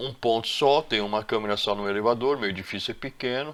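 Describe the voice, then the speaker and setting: A man talks at a fairly quick pace. His pitch sits in the medium range and varies in an ordinary way. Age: 60s. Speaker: electrician and CCTV installer. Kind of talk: tutorial. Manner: halting.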